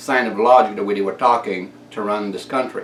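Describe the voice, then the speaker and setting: A man with a French-Canadian accent talks at a moderate pace. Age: 60s. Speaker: inventor and video blogger. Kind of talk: casual monologue rant.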